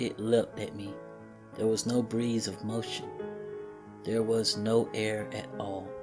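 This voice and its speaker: A man at medium pitch in a monotone, flat intonation, at a very slow pace with long, frequent pauses, over music in the background. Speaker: creepypasta narrator. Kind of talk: horror story narration.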